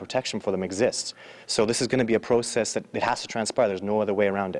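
Speaking very fast, a man keeps his pitch variation ordinary. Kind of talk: interview answer. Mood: earnest, motivated. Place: hall. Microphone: handheld.

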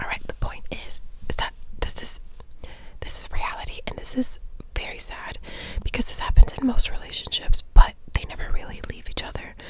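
A woman whispers at a fairly quick pace. Her speech breaks often into long pauses. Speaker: ASMR creator. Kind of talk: ASMR film talk, casual chatty commentary. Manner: whispered, soft-spoken. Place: home room. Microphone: studio mic.

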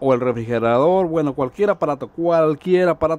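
In a dry recording with no echo, a man with a Mexican accent talks at a very fast pace with ordinary pitch variation. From Mexico, rural village. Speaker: YouTube DIY electronics presenter. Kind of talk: tutorial. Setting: home workshop. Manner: casual, halting with fillers. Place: workshop.

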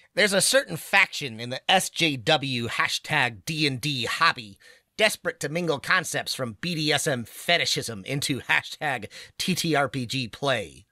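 Over a silent background in a very clean recording, a man does a put-on character voice at a fairly high pitch and a fairly slow pace. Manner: geeky, nasal-sounding reading.

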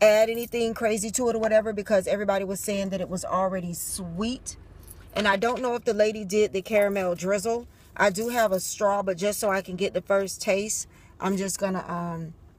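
Sounding dry with no echo, a woman talks at a fairly quick pace with fairly even intonation. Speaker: drink reviewer vlogger. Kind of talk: casual vlog chat. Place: car. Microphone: phone near.

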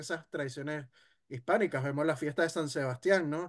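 A man talks with ordinary pitch variation. Behind him the background stays quiet. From Venezuela. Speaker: history content creator; guest. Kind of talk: casual discussion. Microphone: video call.

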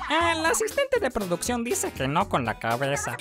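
Clear background music behind an exaggerated, performed voice, delivered at a middling tempo. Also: man. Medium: fan dub. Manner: upbeat, teasing, catchphrase exclamations.

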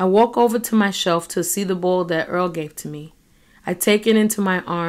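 With ordinary pitch variation, a natural reading voice carries the text.

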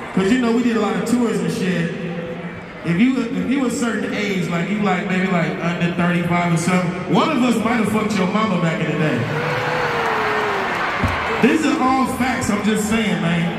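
A man's moderately paced speech, with ordinary pitch variation, carries audible room echo over noticeable background noise. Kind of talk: stage banter to crowd. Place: stage.

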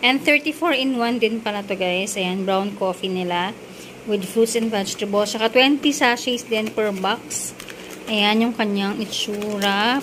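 Light background noise accompanies a woman's voice. She speaks at a fairly slow pace with ordinary pitch variation. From Philippines. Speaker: vlogger. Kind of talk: product review. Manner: casual. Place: home room. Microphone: phone near.

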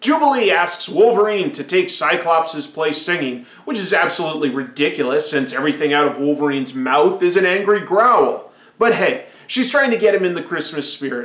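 With audible room echo around him, a man talks at a moderate pace and hardly pauses. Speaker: pop culture reviewer. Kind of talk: commentary. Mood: playful, sarcastic.

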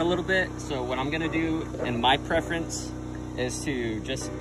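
A man is speaking. Music plays in the background. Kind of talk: tutorial. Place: street. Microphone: phone near.

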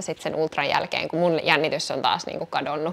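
The pace is moderate. The speaker is a woman. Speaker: pregnancy vlogger. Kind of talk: casual vlog chat. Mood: cheerful, laughing at times. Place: home room. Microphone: camera far.

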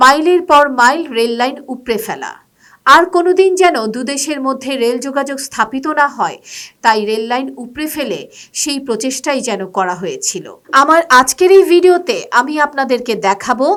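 A woman's high voice with lively intonation and music in the background. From Bangladesh. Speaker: travel vlogger. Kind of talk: documentary-style vlog narration. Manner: formal.

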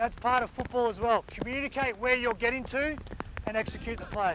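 A man's extremely high-pitched voice at a fairly quick pace, fairly even intonation, dry sound with no echo, and noticeable background noise. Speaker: guest coach. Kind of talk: coaching instruction. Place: open country. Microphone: lapel.

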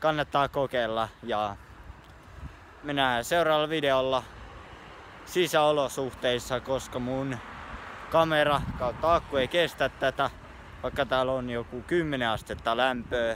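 A man talks at a very slow pace with fairly even intonation and long, frequent pauses, in a dry recording with no echo and light background noise. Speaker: street football vlogger. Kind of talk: casual vlog chat. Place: street. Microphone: phone near.

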